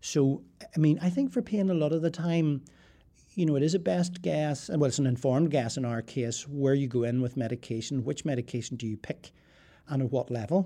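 Lively in intonation, a man with a dark, mellow tone and fairly high pitch speaks at a fairly quick pace. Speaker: professor of geriatric medicine. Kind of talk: interview. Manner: halting.

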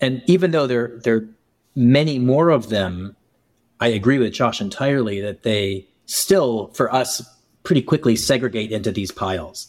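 Heard in a very clean recording with a silent background, an ordinary speaking voice moves at a moderate pace with lively intonation. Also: man, medium pitch for a man. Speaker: podcast host and co-founder. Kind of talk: casual interview conversation.

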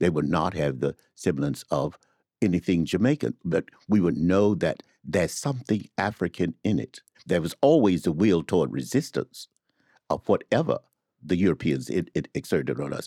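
This man has a very deep, low voice with vocal fry and a dark, mellow tone. He speaks with an American accent and lively intonation. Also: moderate pace, dry, close sound with no echo, very clean recording, silent background. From US South. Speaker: literary editor and academic. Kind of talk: casual chat.

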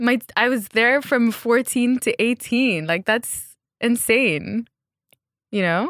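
A woman's fairly high voice at a very slow pace, with very even loudness and ordinary pitch variation, in a very clean, dry, close recording with no echo and a silent background. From Egypt, raised partly in New Zealand and Saudi Arabia. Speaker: fashion designer. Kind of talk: casual interview. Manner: casual, laughs often.

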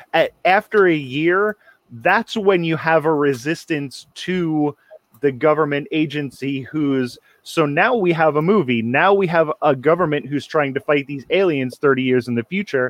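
Speech moves at a fairly slow speed. The pitch shifts in an ordinary way. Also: man, fairly high pitch for a man. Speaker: podcast co-host. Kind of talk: casual chat. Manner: animated.

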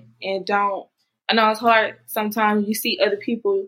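With a Southern US accent, a woman speaks at a moderate pace in a fairly high pitch, her intonation fairly even. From Mississippi. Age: 20s. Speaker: makeup artist. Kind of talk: interview.

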